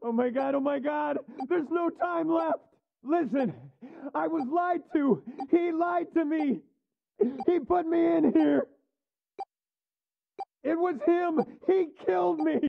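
A high-pitched voice moves at a fairly slow pace, with long, frequent pauses.

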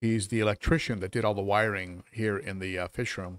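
Recorded dry with no echo against a quiet background, a man with a fairly low pitch speaks at a moderate pace. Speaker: aquarium hobby streamer. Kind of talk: casual live stream chat. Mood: amused, animated. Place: home room. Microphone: studio mic.

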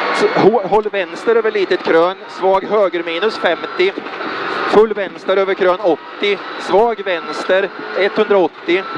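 The speaker goes at a very slow pace with long, frequent pauses, in a dry sound with no echo and noticeable background noise. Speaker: rally co-driver. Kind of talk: rally co-driver reading pacenotes aloud during a stage. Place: car. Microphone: helmet.

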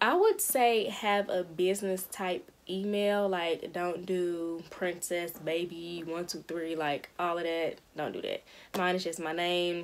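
At a fairly slow pace, a woman speaks with fairly even intonation and a fairly low pitch. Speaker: beauty vlogger. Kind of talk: casual vlog chat. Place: home room. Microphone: phone near.

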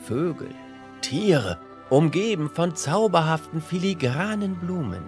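Music plays in the background. Over it, a man talks at a very slow pace. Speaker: storyteller. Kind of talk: bedtime fairy tale reading. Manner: calm.

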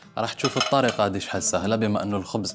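Clear music plays in the background as a man speaks at a fairly low pitch. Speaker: TV cooking show host. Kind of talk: tutorial. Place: studio.

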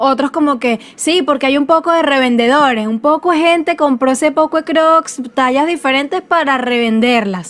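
A woman talks with a Venezuelan accent at a high pitch. Her pace is moderate, with hardly any pauses. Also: ordinary pitch variation. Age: 20s. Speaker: podcast co-host. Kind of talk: casual chat. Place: home room.

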